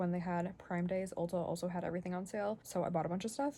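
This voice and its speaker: This woman's medium-pitched voice is somewhat breathy, with a dark, mellow tone. Her intonation stays fairly even. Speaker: stay-at-home mom vlogger. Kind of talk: casual vlog narration. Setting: home basement. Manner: stutters and stumbles sometimes; filler-heavy casual speech.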